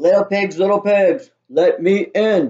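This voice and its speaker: In a put-on character voice, the speaker growls at a fairly slow pace. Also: man. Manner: snarling, menacing.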